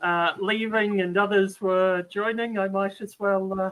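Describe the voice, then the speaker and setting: A man with a slight New Zealand accent speaks at a high pitch. His pace is fairly slow. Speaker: viewer and channel helper. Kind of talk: casual chat.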